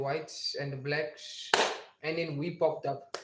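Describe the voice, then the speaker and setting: A man's fairly high voice in a South African accent, monotone and flat in intonation, at a moderate pace. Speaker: gaming livestreamer. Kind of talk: casual livestream chat. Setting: livestream.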